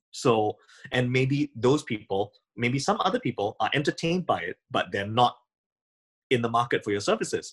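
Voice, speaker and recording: A man speaks at a moderate pace with lively intonation, a medium pitch and a somewhat breathy voice, recorded dry and close with no echo. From Singapore. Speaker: audio company founder and composer. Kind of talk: interview.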